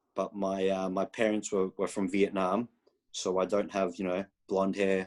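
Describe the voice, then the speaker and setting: This voice carries an Australian accent. The pace is moderate. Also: man. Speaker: college soccer head coach. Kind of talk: interview answer at recruiting showcase. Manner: halting with many fillers and repetitions.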